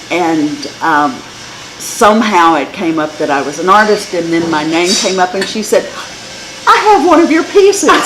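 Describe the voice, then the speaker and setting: A woman with an American accent talks at a moderate pace with lively intonation. Room echo is audible and background noise is noticeable. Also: medium pitch for a woman. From West Texas. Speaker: artist. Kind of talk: interview. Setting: art studio.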